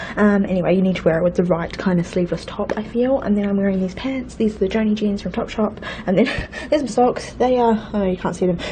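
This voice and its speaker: Over noticeable background noise, a woman with a New Zealand accent talks at a very fast pace in a medium voice with ordinary pitch variation. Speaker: vlogger. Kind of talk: casual vlog.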